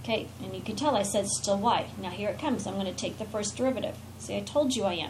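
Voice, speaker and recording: The voice belongs to a woman and sits fairly high in pitch. Audible room echo surrounds it. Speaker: math teacher. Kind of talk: lecture. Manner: fast.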